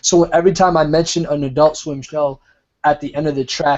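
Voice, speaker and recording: A man speaks with a Rhode Island accent. His pace is moderate and his intonation fairly even. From US, Rhode Island. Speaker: rapper. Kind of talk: casual interview chat.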